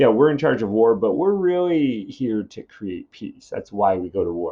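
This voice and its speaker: A man speaks at a moderate pace in a medium pitch, his voice swinging very widely up and down. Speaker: high school English teacher. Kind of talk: recorded lesson. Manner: casual, many fillers.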